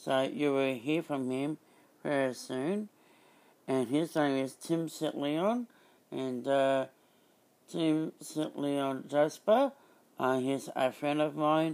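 Speaking very slowly, a man leaves long, frequent pauses. His pitch is fairly high, with ordinary variation. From Australia, Byron Bay area. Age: 30s. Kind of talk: podcast intro; community radio chat.

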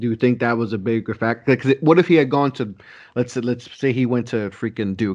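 A man's medium-pitched, unremarkable speaking voice, fairly quick, with ordinary pitch variation over a quiet background. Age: 30s. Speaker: sports podcaster. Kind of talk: casual chat. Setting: video call.

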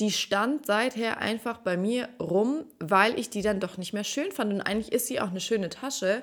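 Here is a woman with an unremarkable speaking voice at a fairly high pitch. She keeps a moderate pace with ordinary pitch variation and hardly any pauses. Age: 30s. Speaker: dating podcast host. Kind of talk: casual solo monologue.

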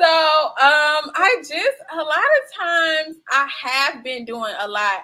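A woman talks in a raised, projected voice with a bright, sharp tone. Her pitch swings very widely while her pace stays very slow. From US Midwest, Chicago South Side (Englewood). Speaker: filmmaker and producer. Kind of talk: casual interview.

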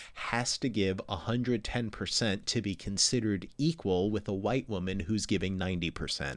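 In an American accent, a normal speaking voice talks at a moderate pace with ordinary pitch variation. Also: man. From US, New York. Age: 40s. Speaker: astrophysicist podcast host. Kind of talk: casual interview. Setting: video call.

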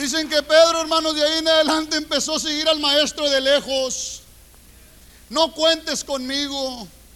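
In a raised, projected voice with an animated tone, a man speaks at a moderate pace and an extremely high pitch. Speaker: preacher. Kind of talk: sermon. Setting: church. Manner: colloquial, humorous, confrontational.

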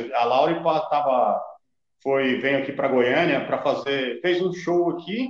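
Heard with audible room echo, a man talks at a fairly slow pace in a fairly high pitch. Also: ordinary pitch variation. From Brazil, São Paulo area (Carapicuíba). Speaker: rapper. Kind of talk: casual chat.

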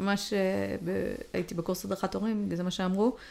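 The woman's delivery moves at a moderate speed. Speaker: podcast co-host. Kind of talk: casual chat.

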